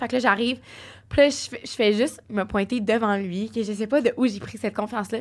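On a very clean recording with a silent background, a woman talks at a moderate pace and fairly high pitch in an unremarkable speaking voice. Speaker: podcast guest. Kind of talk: casual chat.

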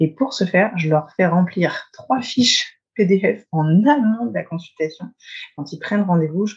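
Somewhat breathy, a woman speaks at a medium pitch. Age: 30s. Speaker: osteopath. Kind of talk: casual interview.

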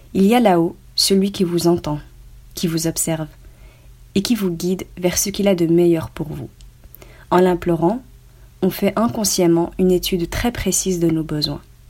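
A woman's fairly low, dark and mellow voice at a fairly slow pace, with fairly even intonation and long, frequent pauses. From Belgium. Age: 20s. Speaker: online business student sharing testimony. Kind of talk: scripted reading of testimony. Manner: formal.

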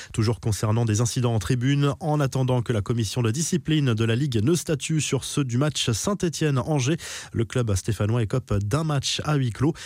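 This is a normal speaking voice at a moderate pace. Its loudness is very even and its pitch variation ordinary. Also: man, medium pitch for a man. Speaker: sports news presenter. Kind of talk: sports news reading, scripted daily football news bulletin. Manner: brisk, steady newsreader delivery, formal and neutral.

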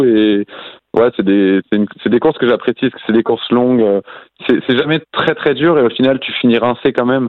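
At a fairly quick pace, an ordinary speaking voice keeps its intonation fairly even. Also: man. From western France, near Nantes. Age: 20s. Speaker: professional cyclist. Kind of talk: podcast interview.

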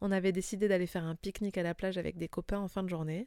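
Very fast and monotone, a woman speaks at a medium pitch with a dark, mellow tone in a very clean recording with a silent background. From France. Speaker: lifestyle podcaster. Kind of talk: personal storytelling narration.

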